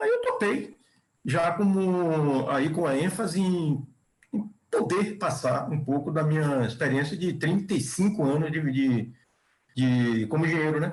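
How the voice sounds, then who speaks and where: A man with a fairly high pitch speaks at a fairly slow pace, his loudness very even and his pitch varying in an ordinary way. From Bahia, Brazil. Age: 60s. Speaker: chemical engineer and professor. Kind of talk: podcast interview. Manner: halting, with repetitions.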